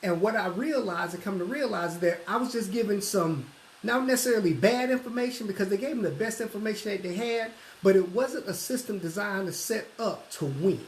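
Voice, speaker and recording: Here a man speaks with a Southern US accent at a high pitch. His pace is fairly quick, and there is noticeable background noise. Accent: southern twang. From US South, Atlanta, Georgia. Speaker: financial services recruiter. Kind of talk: sales pitch. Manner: fast.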